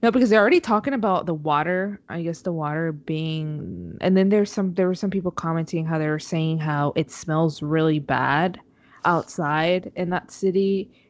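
A woman with a Spanish accent speaks at a fairly low pitch and a moderate pace. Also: ordinary pitch variation. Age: 20s. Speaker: podcast co-host, mother. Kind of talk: casual chat. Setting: remote call from home.

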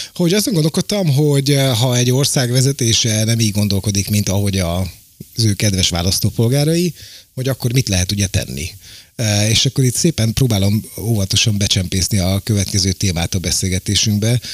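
A man's fairly low, somewhat breathy voice at a fairly quick pace, very even in loudness, with a dry, close sound and no echo. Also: lively intonation. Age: 50s. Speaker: podcast host. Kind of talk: casual political discussion.

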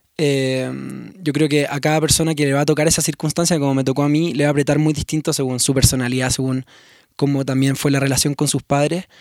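Speaking very fast with a Chilean accent, a man uses a fairly high pitch and a monotone, flat intonation. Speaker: musician. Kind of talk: casual interview conversation. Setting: recording in Mexico City.

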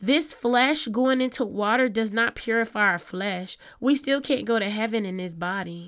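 At a moderate pace, a woman with a fairly high pitch speaks in a plain, everyday voice with ordinary pitch variation. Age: 30s. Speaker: podcast host. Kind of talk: casual monologue. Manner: conversational, meandering.

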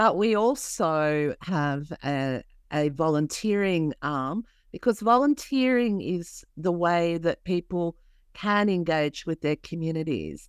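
In an Australian accent, a woman with a fairly low pitch speaks at a very slow pace, her voice dry and close with no echo in a very clean recording with a silent background. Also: lively intonation. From New South Wales, Australia. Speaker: community organisation CEO, social worker. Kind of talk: interview.

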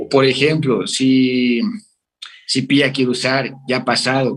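A man speaks at a fairly slow pace in an ordinary speaking voice, pitched fairly high. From Mexico, Veracruz. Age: 30s. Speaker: father and chemical engineer. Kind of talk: casual interview. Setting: remote call.

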